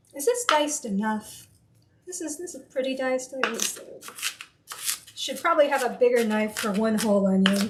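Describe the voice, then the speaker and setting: A woman with an American accent, high in pitch, with lively intonation, big swings in loudness, a moderate pace and long, frequent pauses, over noticeable background noise. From US West, mostly Colorado. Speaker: streamer cooking on a live stream. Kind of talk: casual live-stream chat while cooking.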